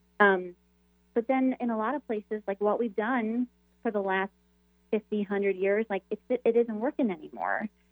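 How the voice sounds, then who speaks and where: In a normal speaking voice, a woman talks at a moderate pace with a fairly high pitch and fairly even intonation. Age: 30s. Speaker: Episcopal priest and author. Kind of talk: radio interview.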